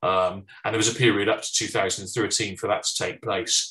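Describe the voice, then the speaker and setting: Against a quiet background, a man with a British accent speaks at a moderate pace in a bright, sharp tone with ordinary pitch variation. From United Kingdom. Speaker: firearms consultant, former law enforcement. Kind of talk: presentation. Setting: online webinar. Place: home room. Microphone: webcam.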